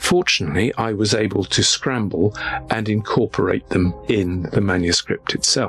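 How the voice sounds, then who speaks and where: Speech in a British accent with ordinary pitch variation, very even loudness and music in the background. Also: man, fairly low pitch for a man, moderate pace. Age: 60s. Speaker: journalist. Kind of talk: interview testimony.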